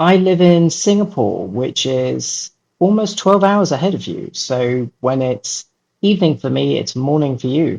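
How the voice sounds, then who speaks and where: Fairly slow speech from a man with an English accent, fairly high in pitch and with very wide pitch swings. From London, England. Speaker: children's book author. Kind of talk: interview.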